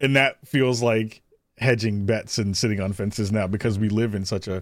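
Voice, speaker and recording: A man with an American accent speaks at a moderate pace, fairly low in pitch with ordinary pitch variation. It is a plain, everyday voice, captured in a very clean recording with a silent background. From New York (the Bronx). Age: 40s. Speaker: podcast host and content creator. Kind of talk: casual chat.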